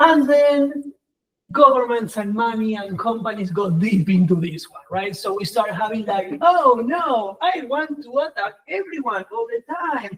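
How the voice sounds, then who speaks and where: This man talks at a fairly slow pace with a non-native accent. His pitch is extremely high and swings very widely. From Argentina. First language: Spanish. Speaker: professor. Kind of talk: conference talk. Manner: animated.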